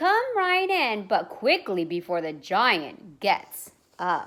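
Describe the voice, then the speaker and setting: Putting on a character voice, the woman talks at a fairly high pitch and a very slow pace. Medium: read story.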